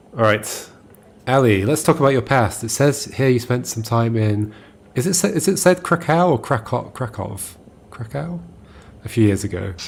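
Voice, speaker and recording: At a moderate pace with long, frequent pauses, a man speaks at medium pitch in a somewhat breathy voice that makes very wide pitch swings. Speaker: video game streamer. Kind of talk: casual chat while reading game dialogue aloud.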